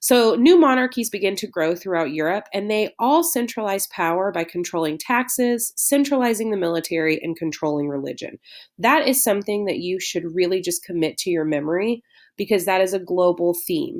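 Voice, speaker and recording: At a fairly quick pace, a woman speaks at medium pitch with lively intonation on a very clean recording with a silent background. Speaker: history teacher. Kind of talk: lecture. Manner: fast.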